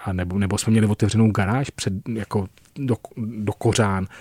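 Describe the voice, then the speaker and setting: In a very clean recording with a silent background and a dry, close sound with no echo, a man with a fairly low pitch and a dark, mellow tone speaks at a moderate pace with fairly even intonation. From Czech countryside. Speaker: industrial designer. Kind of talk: interview. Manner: halting.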